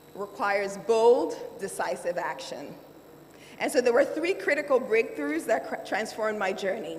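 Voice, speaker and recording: Over noticeable background noise, a woman talks at a moderate pace with a fairly high pitch and very wide pitch swings. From Nigeria. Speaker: lawyer and finance executive. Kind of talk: keynote speech.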